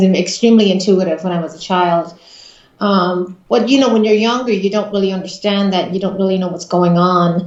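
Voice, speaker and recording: A woman speaks in an Irish accent with fairly even intonation. Room echo is audible. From Ireland. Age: 40s. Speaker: psychic medium. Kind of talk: interview. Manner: hesitant, many fillers.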